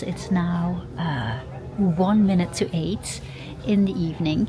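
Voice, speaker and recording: Over noticeable background noise, a woman talks in a fairly low pitch. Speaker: travel vlogger. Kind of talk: vlog narration. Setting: bus station then on coach. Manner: halting, many fillers.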